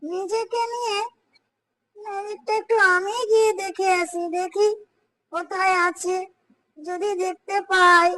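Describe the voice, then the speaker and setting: A cartoonish character voice from a woman, extremely high-pitched, very slow, with fairly even intonation. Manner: fretful, complaining.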